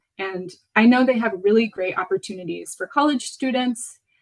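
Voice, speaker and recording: With an American accent, a woman speaks fairly quickly at a fairly high pitch. Her voice is somewhat breathy. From Venezuela (Caracas), international school, American mother. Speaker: potter. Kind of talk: lecture. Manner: hesitant, many fillers.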